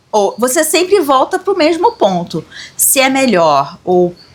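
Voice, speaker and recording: Over noticeable background noise, a high-voiced woman with a Carioca accent speaks very slowly, her pitch swinging very widely. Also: long, frequent pauses. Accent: carioca Brazilian Portuguese. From Rio de Janeiro, Brazil. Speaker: occultism channel co-host. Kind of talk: casual discussion.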